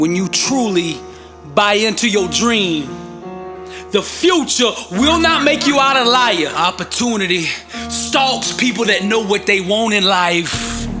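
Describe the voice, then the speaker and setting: Over music in the background, a man with a high pitch uses a raised, projected voice and an intense, passionate tone, keeping his loudness very even. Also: lively intonation, fairly slow pace. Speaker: motivational speaker. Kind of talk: motivational speech.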